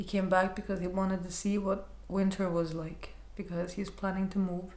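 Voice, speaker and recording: In a room with audible echo, a woman talks at a moderate pace with a medium pitch and a monotone, flat delivery. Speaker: counselor sharing personal experience. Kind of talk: personal vlog monologue. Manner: hesitant, repeating words; lowered, quieter voice.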